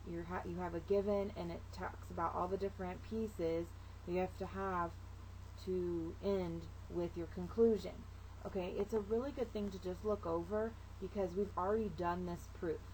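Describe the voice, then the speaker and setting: A woman at a moderate pace, with audible room echo. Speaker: math teacher. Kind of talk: recorded video lesson.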